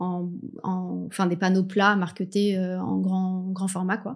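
Against a quiet background, the voice moves at a very slow pace in monotone, flat intonation. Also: woman. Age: 30s. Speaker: cabinetmaker specializing in wood marquetry. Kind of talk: interview. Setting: studio.

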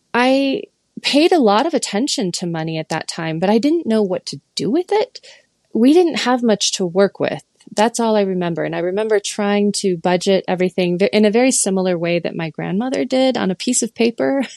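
Talking at a fairly quick pace with lively intonation, this is a plain, everyday voice with an American accent, recorded in a dry, close sound with no echo. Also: woman, medium pitch for a woman. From Michigan. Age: 40s. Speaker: listener sharing personal story. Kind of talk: interview.

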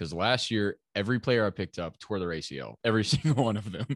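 A man's fairly quick, lively speech at a fairly low pitch, an ordinary speaking voice against a quiet background. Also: dry, close sound with no echo. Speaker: podcast co-host. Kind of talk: casual chat.

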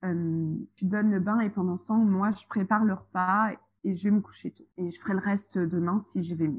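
Speaking at a fairly slow pace, a woman with a medium pitch and a somewhat breathy, dark, mellow tone keeps her intonation fairly even in a dry, close sound with no echo. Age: 30s. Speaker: childminder and single mother. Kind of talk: casual interview chat. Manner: hesitant, many fillers.

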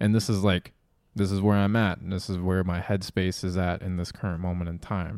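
Fairly quick in pace, a man talks with a very deep, low pitch. His intonation stays fairly even. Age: 20s. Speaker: podcast co-host. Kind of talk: casual chat.

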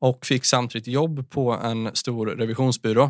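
In a very clean recording with a silent background, a man has a normal speaking voice. He talks at a medium pitch and a fairly slow pace with fairly even intonation. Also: dry, close sound with no echo. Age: 20s. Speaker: mental health speaker. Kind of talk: casual interview, personal testimony.

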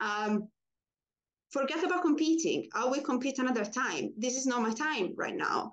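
High-pitched woman with a non-native accent, lively intonation, very even loudness and a moderate pace. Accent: foreign-accented English. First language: not English. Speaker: pole dancer. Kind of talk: interview.

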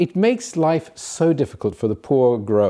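A man with a fairly high pitch and a dark, mellow tone speaks at a fairly slow pace with very wide pitch swings. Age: 70s. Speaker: private equity investor. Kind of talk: casual chat.

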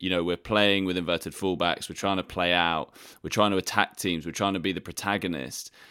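A man with an English accent is heard on a very clean recording with a silent background. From England. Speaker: football journalist. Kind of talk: casual chat.

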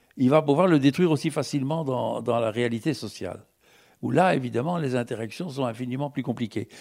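A man speaks with lively intonation at fairly high pitch. The recording is very clean, with a silent background. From Belgium. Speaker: philosopher and writer. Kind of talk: public panel discussion.

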